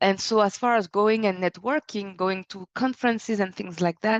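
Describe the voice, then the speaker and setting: A woman speaks with a French accent at a medium pitch. The sound is dry and close with no echo, and the background is quiet. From France. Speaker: business consultant and speaker. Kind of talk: webinar presentation.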